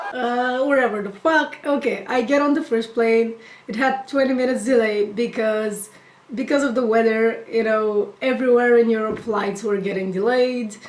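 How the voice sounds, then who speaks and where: High pitch from a woman, with noticeable background noise behind her. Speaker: YouTuber. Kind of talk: storytime rant. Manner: casual.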